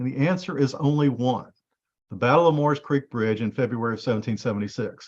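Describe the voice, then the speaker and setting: His pitch rises and falls in an ordinary way. The man's voice sits at a medium pitch. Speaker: genealogy presenter. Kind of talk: presentation. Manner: fast.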